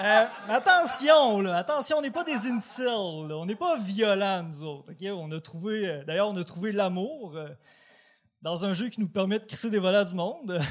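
On a very clean recording with a silent background, a high-pitched man with a Quebec accent talks at a fairly slow pace with lively intonation. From Quebec, Côte-Nord (Port-Cartier). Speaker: amateur comedian. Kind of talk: stand-up. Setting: stage with audience.

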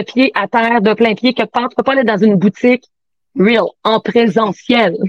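In a dry, close recording with no echo, a woman with a high pitch speaks at a fairly slow pace. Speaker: sex toy sales consultant. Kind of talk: casual chat.

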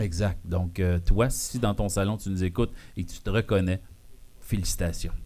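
A man speaks in a very deep, low pitch with a dark, mellow tone. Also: moderate pace. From Quebec, Abitibi-Témiscamingue. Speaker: podcast host. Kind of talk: live show with audience. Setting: bar with live audience. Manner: animated.

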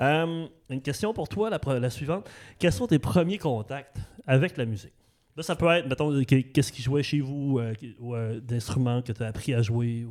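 A man speaks at a moderate pace with a medium pitch and lively intonation. The recording is very clean, with a silent background. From Saguenay, Quebec (Arvida). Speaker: podcast host. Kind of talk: interview. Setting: dance studio. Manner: halting, many repetitions.

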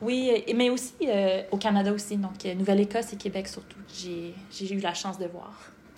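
A woman's medium-pitched voice with fairly even intonation, set against noticeable background noise. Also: moderate pace. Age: 30s. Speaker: medical student, former nutritionist. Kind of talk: podcast interview.

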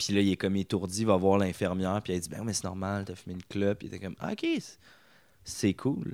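A man with a Quebec accent speaks at a moderate pace in a fairly low voice, recorded very cleanly against a silent background. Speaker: comedian. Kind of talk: casual chat. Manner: animated.

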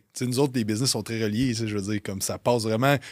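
Recorded very cleanly with a silent background, a man talks at a medium pitch with fairly even intonation. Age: 30s. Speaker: fitness coaching business owner. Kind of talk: casual chat.

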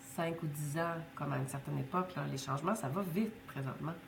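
Speaking at a fairly quick pace with a Quebec accent, a woman with a very deep, low voice shows ordinary pitch variation, amid audible room echo and noticeable background noise. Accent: Québécois French. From Quebec, Côte-Nord. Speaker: business school director. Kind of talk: interview conversation.

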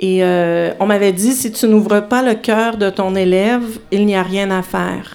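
Her intonation fairly even, a woman talks at medium pitch and a very slow pace. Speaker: filmmaker and dancer. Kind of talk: interview. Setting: live show before audience in a bar.

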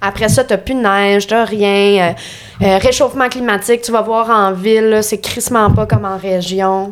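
A woman's medium-pitched voice in a Quebec accent, at a fairly slow pace with fairly even intonation. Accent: Québécois French. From Quebec (Lanaudière). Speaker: stand-up comedian. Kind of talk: casual chat. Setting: studio.

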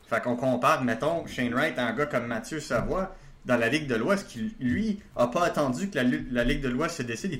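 Lively intonation marks this man's medium-pitched speech. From Quebec, Laval. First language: not French (speaking French). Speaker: hockey prospects analyst. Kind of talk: casual chat. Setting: video call.

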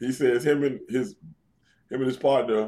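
Moderately paced male speech at medium pitch, with ordinary pitch variation. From New York City. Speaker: retired pro wrestler. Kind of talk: interview.

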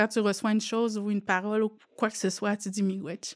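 Her voice fairly high, a woman talks at a moderate pace. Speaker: student and mother. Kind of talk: testimony.

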